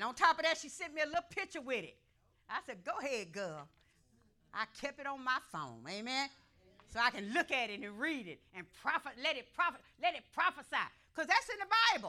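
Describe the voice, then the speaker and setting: Raised and projected, a woman's high-pitched voice has a bright, sharp tone, very wide pitch swings, big swings in loudness and a fairly quick pace. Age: old. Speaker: pastor. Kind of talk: sermon. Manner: animated.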